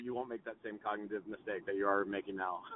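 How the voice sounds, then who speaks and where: Moderate pacing from a man with an American accent. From Texas. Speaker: tech company founder. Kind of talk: casual chat. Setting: in a car. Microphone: poor audio quality.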